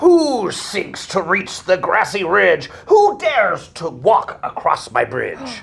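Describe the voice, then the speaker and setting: A man's high-pitched put-on character voice at a fairly slow pace. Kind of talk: children's story read-aloud. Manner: dramatic, expressive.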